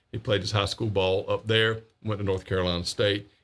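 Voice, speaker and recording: With an ordinary speaking voice, a man talks at a moderate pace in a fairly low pitch with ordinary pitch variation, on a very clean recording with a silent background. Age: 50s. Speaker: local news show host. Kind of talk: live local news talk show monologue. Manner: casual, with many fillers.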